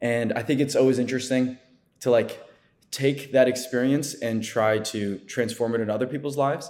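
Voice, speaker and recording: An ordinary speaking voice with an American accent moves at a moderate pace. The intonation is fairly even. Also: man, medium pitch for a man. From New Jersey. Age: 20s. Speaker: content creator. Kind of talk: casual chat.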